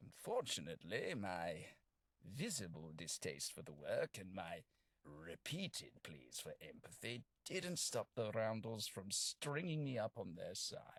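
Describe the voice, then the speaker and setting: Using a put-on character voice, a man speaks at a fairly slow pace. His pitch is medium. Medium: video game. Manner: polite, formal, wry.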